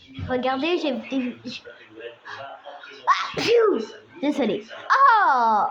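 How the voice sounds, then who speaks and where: At a very slow pace, a raised, projected voice moves through very wide pitch swings with long, frequent pauses. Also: woman, high pitch for a woman. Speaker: vlogger. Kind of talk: casual vlog chat. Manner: halting.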